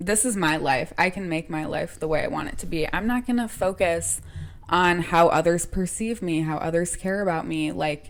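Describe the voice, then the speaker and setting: Moderate pacing and ordinary pitch variation in a normal speaking voice. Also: woman, fairly low pitch for a woman. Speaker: podcast co-host. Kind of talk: casual chat.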